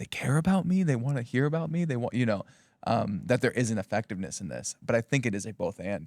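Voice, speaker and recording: A man speaks at a very fast pace with vocal fry, medium pitch and very wide pitch swings. The recording is very clean with a silent background, and the sound is dry and close with no echo. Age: 20s. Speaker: pastor. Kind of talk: casual chat.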